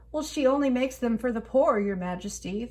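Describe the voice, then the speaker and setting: A woman uses a put-on character voice, high in pitch. She talks at a fairly quick pace over light background noise. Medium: read story.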